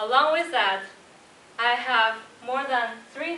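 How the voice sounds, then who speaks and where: A woman with a Chinese accent speaks very slowly at a high pitch with ordinary pitch variation, with audible room echo and noticeable background noise. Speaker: designer and Toastmasters club speaker. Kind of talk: prepared speech.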